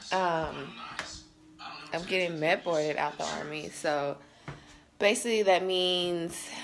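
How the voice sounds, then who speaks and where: A woman speaks at a fairly slow pace with a fairly low pitch. Noticeable background noise runs underneath. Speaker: soldier vlogger. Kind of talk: casual vlog. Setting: at home getting ready for work. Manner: hesitant, many fillers.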